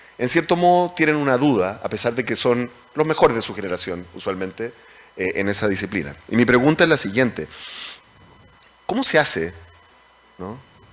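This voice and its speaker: Over noticeable background noise, a man talks at a moderate pace and medium pitch, his voice swinging very widely in pitch, with long, frequent pauses. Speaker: moderator, economics professor. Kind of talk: panel discussion. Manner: halting.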